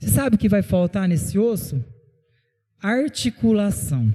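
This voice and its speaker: A man speaks at a fairly slow pace in a high voice, his pitch swinging very widely. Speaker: pastor. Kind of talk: sermon.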